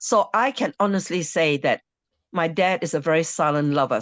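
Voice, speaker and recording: Over a quiet background, a woman talks at a moderate pace with very wide pitch swings, her sound dry and close with no echo. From Malaysia. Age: 70s. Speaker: entertainer and storyteller. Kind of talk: casual group chat.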